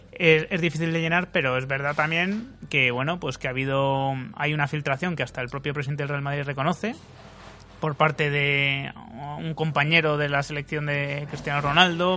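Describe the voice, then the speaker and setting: A man's fairly high voice with a bright, sharp tone, fairly even intonation and a moderate pace. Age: 30s. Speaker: football blogger. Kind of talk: round-table debate. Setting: restaurant.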